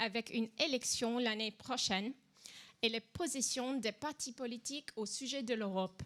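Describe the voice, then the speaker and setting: The speaker has an English accent and ordinary pitch variation. The pace is fairly slow. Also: woman. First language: English (speaking French). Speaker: political panelist. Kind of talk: conference talk. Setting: conference with live audience.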